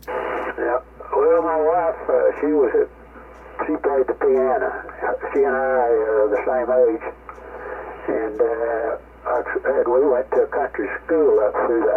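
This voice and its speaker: A man with an American accent talks at a fairly slow pace, leaving long, frequent pauses. Noticeable background noise runs underneath. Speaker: ham radio operator. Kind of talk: casual chat. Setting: ham radio contact.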